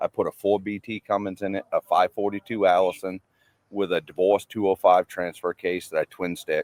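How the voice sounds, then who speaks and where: A man with a Maine accent speaks at a moderate pace and a fairly low pitch. The sound is dry and close, with no echo. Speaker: off-road vehicle builder, subscriber. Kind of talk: casual interview.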